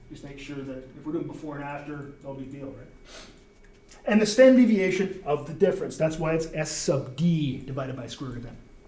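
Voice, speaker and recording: Over noticeable background noise, a man with a fairly high pitch talks at a fairly quick pace, with ordinary pitch variation and big swings in loudness. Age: 60s. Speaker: university professor. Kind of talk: lecture. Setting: classroom with students. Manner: casual, conversational.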